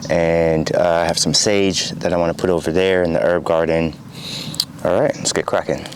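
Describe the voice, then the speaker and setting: A man speaks at a moderate pace with very even loudness. There is noticeable background noise. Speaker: home cook and gardener. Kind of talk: casual talk to camera. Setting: outdoors.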